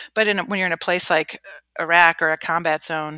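A woman with a Midwestern American accent speaks against a quiet background. Her tone is bright and sharp, her pitch fairly low. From US Midwest, Cleveland, Ohio. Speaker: Marine Corps officer. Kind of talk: interview.

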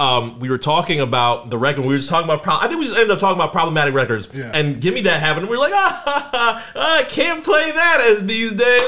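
A man's raised, projected voice at a very fast pace, with very wide pitch swings, hardly any pauses and noticeable background noise. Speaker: podcast co-host. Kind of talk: casual chat. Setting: in studio.

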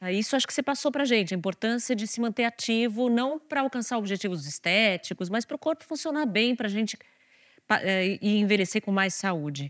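Heard on a very clean recording with a silent background and a dry, close sound with no echo, an unremarkable speaking voice moves at a fairly quick pace with lively intonation. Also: woman, fairly high pitch for a woman. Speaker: journalist and editor. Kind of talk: interview.

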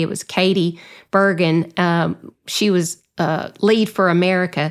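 In a Southern US accent, a woman speaks with fairly low pitch and flat, monotone intonation at a moderate pace. The recording is very clean, with a silent background. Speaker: association executive director and podcast host. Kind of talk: casual interview chat.

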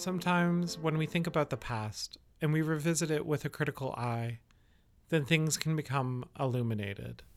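With music in the background, a man speaks at a moderate pace, his fairly high pitch showing ordinary variation. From Canada, Yellowknife. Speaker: podcast host. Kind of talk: scripted narration.

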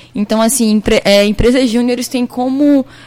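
Her pitch is high, and her intonation stays fairly even. The woman keeps a moderate pace. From Petrolina, Pernambuco, Brazil. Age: 20s. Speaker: university student, junior company president. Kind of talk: radio interview.

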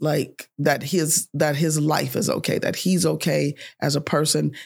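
A woman with vocal fry speaks at a fairly slow pace in a very deep, low pitch. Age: 50s. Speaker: life coach. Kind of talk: casual chat.

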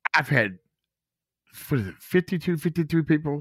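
The sound is dry and close with no echo as a man speaks with a Southern US accent. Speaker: guest, uncle of a man killed by police. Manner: emotional, animated.

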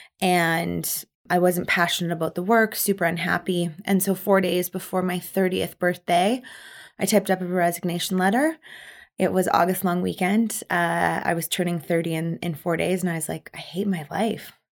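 A slight Canadian Prairie accent at a moderate pace on a very clean recording with a silent background. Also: woman, fairly low pitch for a woman. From Manitoba, Canada. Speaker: charity founder, event planner. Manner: loud, animated, assertive.

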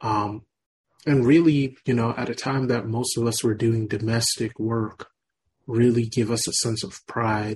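Speaking fairly slowly, a man uses a medium pitch with fairly even intonation. His voice is somewhat breathy. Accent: American. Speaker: radio host. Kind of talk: radio interview, conversational.

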